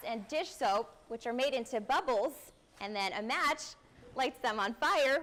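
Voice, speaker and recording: Over noticeable background noise, a high-pitched woman with an American accent talks at a moderate pace with lively intonation. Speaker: TV news anchor and reporter. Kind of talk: news headline teaser montage.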